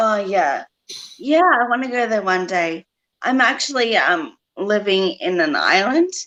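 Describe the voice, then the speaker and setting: A woman speaks at a fairly slow pace with a fairly high pitch and a bright, sharp tone. Her pitch swings very widely while her loudness stays very even. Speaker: stroke survivor. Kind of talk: interview testimony. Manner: hesitant, many fillers; loses voice control when excited.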